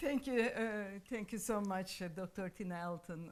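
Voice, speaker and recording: Fairly even intonation accompanies speech delivered at a fairly slow pace. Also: woman. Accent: Turkish. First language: Turkish. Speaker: association president and lawyer. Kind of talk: panel discussion. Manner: halting, frequent hesitations.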